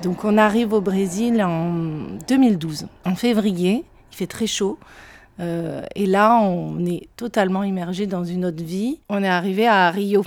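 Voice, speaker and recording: Speaking very slowly, a woman uses a medium pitch with ordinary variation. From southern France, Perpignan. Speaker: painter. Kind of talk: interview storytelling. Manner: hesitant, with fillers and repetitions.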